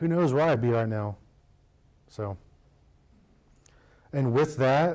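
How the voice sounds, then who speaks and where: The man has an American accent. His pace is moderate. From United States. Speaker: combat wounded war veteran speaker. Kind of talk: public speech with Q&A. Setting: chamber of commerce meeting, live audience. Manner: casual, conversational.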